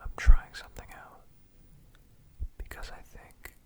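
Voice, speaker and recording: Whispering in a calm, soothing tone, a man talks at a fairly slow pace against noticeable background noise. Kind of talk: casual talk to camera. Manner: whispered; soft-spoken, calm, soothing.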